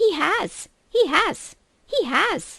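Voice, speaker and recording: In a put-on character voice, the speaker squeaks at an extremely high pitch. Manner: frantic, losing control.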